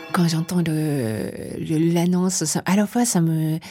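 A woman's very deep, low voice with a dark, mellow tone and a Japanese accent, at a very slow pace, in a very clean recording with a silent background. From Japan, Tokyo. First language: Japanese (speaking French). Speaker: writer and translator. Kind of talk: interview. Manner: halting.

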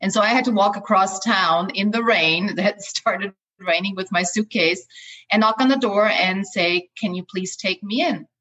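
Speaking with an Austrian accent at a moderate pace, this voice has ordinary pitch variation and a dry, close sound with no echo. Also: woman, medium pitch for a woman. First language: German. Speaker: life coach. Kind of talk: interview. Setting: video call.

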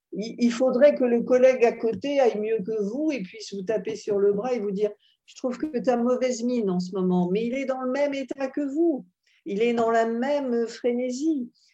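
This woman has a dark, mellow tone and a high pitch with ordinary variation. She talks at a moderate pace. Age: 70s. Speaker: psychoanalyst and psychologist. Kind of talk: interview.

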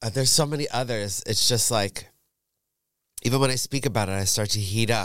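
Over a very clean, silent background, a man with a New York accent speaks in an animated tone at a fairly quick pace and medium pitch, with ordinary pitch variation and long, frequent pauses. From New York suburbs. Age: 50s. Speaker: drag performer. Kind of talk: casual chat. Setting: studio.

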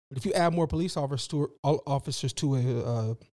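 Somewhat breathy, a man speaks at a moderate pace. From US West Coast, East Oakland, California. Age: 30s. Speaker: activist and T-shirt seller. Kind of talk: casual interview.

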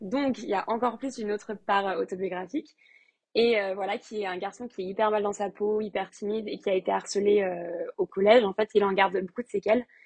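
A woman with a plain, everyday voice talks fairly quickly at a medium pitch with fairly even intonation, the sound dry and close with no echo. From France, Lyon. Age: 20s. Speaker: novelist. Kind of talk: interview.

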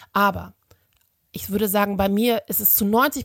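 A woman speaks at medium pitch with vocal fry. Her pace is moderate, and the recording is very clean with a silent background. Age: 40s. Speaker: social media activist. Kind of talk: recorded voice message.

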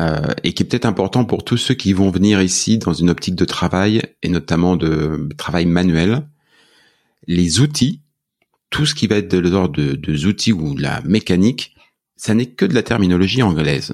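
Speaking at a moderate pace, a man with a very deep, low pitch uses lively intonation. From France. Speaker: podcast host. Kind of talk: casual interview.

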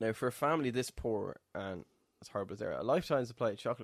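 Very fast speech from a man at a medium pitch with an Irish accent, dry and close with no echo, on a very clean recording with a silent background. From Ireland. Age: 30s. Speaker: podcast co-host. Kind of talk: casual chat.

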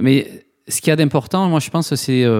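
A man with a slight southwestern French accent talks at a fairly quick pace in a fairly high voice with ordinary pitch variation, on a very clean recording with a silent background. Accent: slight southwest French. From southwest France, Toulouse. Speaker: nonprofit co-founder. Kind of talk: interview. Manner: hesitant, many fillers.

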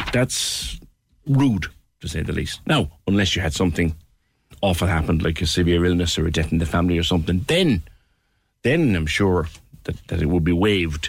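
Long, frequent pauses break up a man's very deep, low, somewhat breathy voice. His pitch varies in an ordinary way. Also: fairly quick pace. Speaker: radio talk show host. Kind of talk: phone-in radio show. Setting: studio. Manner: animated.

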